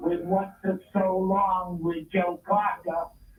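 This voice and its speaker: A very slow pace amid noticeable background noise. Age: 70s. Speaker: radio show guest. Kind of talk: casual chat.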